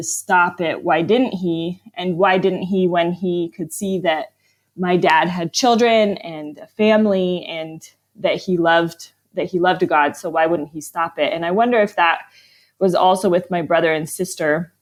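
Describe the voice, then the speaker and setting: A woman's fairly low-pitched, plain, everyday voice with fairly even intonation at a moderate pace, on a very clean recording with a silent background. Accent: American. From US, Arizona and Vermont. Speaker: author. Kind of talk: interview.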